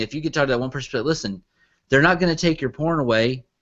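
In an American accent, a man speaks with an ordinary speaking voice, a fairly high pitch and ordinary pitch variation. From US South, Arkansas. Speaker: online entertainment producer. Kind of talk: casual chat.

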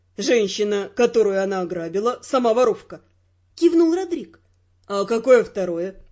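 A natural voice, reading aloud.

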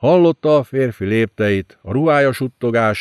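Against a quiet background, a passage is read aloud in a natural voice.

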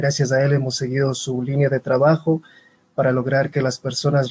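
Somewhat breathy and fairly high-pitched, a man's dark, mellow voice moves at a moderate pace in a dry, close sound with no echo. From Ecuador. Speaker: web and multimedia designer. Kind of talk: live online panel discussion. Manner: formal.

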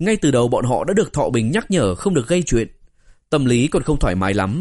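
A reading voice that sounds natural

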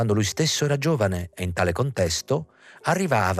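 The passage is read aloud in a natural voice.

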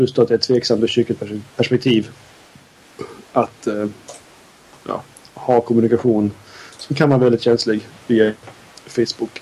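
With a Scanian accent, a man speaks at a medium pitch and moderate pace, using long, frequent pauses. His intonation is monotone and flat, and there is noticeable background noise. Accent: Skåne dialect. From southern Sweden (Skåne), parents from Norrbotten. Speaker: podcast co-host. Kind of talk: casual chat.

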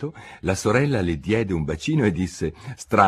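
With lively intonation, the speaker reads in an unforced reading voice.

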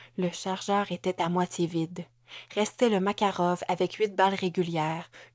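Fairly level intonation in an unforced reading voice

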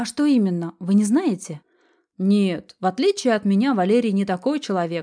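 Against a quiet background, an unforced reading voice carries lively intonation.

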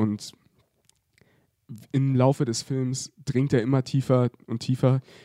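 Delivered at a slow pace, the voice has a dark, mellow tone and little pitch movement. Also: man.

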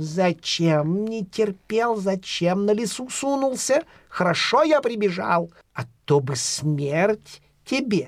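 A man puts on a character voice, pitched high with big pitch swings. He talks at a slow pace.

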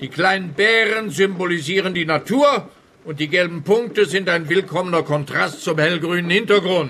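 A man's put-on character voice, high in pitch and bright, sharp in tone, at a moderate pace with few pauses and ordinary pitch variation

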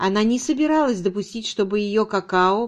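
Natural reading voice, start to finish.

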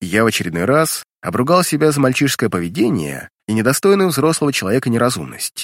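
Quiet background behind a natural reading voice

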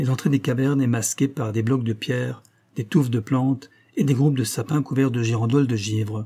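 The clip features plain reading aloud.

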